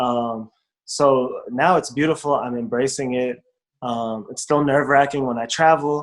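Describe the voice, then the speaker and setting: A normal speaking voice with ordinary pitch variation talks with an American accent. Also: man. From United States. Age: young. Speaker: rapper, performer, storyteller. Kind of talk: interview answer.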